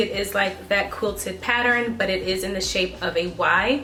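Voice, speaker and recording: Against noticeable background noise and audible room echo, a woman with a medium pitch speaks at a moderate pace and with fairly even intonation. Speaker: beauty and fashion vlogger. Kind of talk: product review. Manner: casual, filler-heavy.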